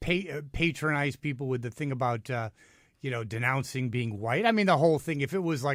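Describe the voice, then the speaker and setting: A man with an American accent speaks in an unremarkable speaking voice at a fairly high pitch, with lively intonation. The recording is very clean, with a silent background. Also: fairly quick pace. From New York City. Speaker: radio host. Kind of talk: talk radio discussion. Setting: radio studio.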